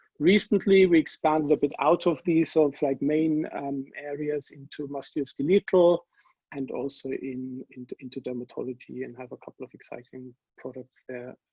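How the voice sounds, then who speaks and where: A man with a German accent, fairly high in pitch, with big swings in loudness and a dry, close sound without echo. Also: ordinary pitch variation, moderate pace. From Germany. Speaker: pharma industry scientist and panelist. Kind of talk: webinar panel introduction. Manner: hesitant, many fillers.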